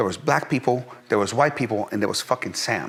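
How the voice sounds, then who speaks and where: Talking at a fairly quick pace, a man has a Persian accent. His tone is animated. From Iran, then Pennsylvania from age eleven. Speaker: entrepreneur, fitness company CEO. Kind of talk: interview storytelling. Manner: animated, many fillers and repetitions.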